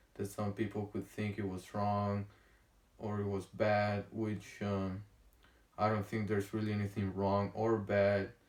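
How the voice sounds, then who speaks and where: With a strong Honduran accent, a man talks at a fairly low pitch in a monotone, flat intonation. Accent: thick Honduran Spanish. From Honduras. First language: Spanish. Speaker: vlogger. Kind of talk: casual vlog monologue. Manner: halting, many fillers and pauses.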